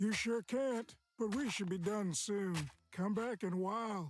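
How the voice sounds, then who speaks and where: At a moderate pace, someone performs a put-on character voice with a fairly high pitch. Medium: video game.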